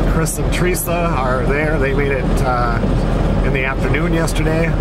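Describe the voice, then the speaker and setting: Over loud background noise, the speaker talks at a fairly quick pace. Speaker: hunting vlogger driving. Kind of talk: casual vlog chat. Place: car. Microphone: phone near.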